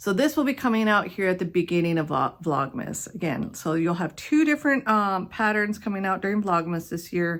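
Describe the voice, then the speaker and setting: In a very clean recording with a silent background, a woman with an unremarkable speaking voice and an American accent talks at a fairly quick pace. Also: medium pitch for a woman, lively intonation. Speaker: knitting podcaster. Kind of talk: casual chat.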